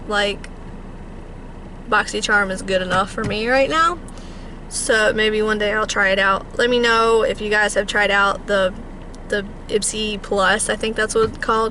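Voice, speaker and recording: A woman at fairly high pitch with fairly even intonation, long, frequent pauses and noticeable background noise. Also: moderate pace. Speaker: beauty vlogger. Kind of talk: casual vlog monologue. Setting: in a car.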